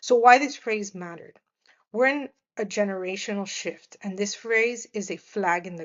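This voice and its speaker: With a Miami accent, a woman speaks at a fairly slow pace using ordinary pitch variation. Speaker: media professional and podcast host. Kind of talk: reflective monologue. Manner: halting, many fillers and restarts.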